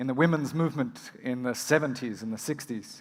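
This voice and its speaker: A man with an Australian accent speaks with lively intonation. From rural Australia. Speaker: emergency physician and medical educator. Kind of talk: conference keynote. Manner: fast.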